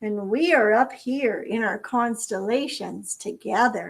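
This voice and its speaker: A woman puts on a character voice at a fairly high pitch. She goes at a fairly slow pace with ordinary pitch variation. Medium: read story. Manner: mocking.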